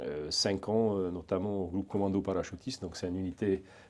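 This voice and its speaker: With a Hungarian accent, a man talks at a fairly quick pace in a very deep, low, dark and mellow voice against a quiet background. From eastern Hungary. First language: Hungarian (speaking French). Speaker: private security trainer, ex-legionnaire. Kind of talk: interview. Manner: hesitant, many fillers and repetitions.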